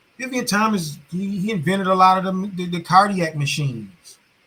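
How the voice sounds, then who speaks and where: In a raised, projected voice, a man with a high pitch speaks at a moderate pace in an animated, bright and sharp tone, with ordinary pitch variation. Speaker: commentary channel host. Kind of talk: casual monologue commentary.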